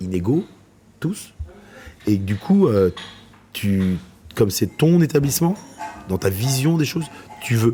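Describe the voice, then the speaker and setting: A man at a very slow pace with very wide pitch swings and long, frequent pauses, music in the background. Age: 40s. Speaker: chef and restaurant owner. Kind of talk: interview answer.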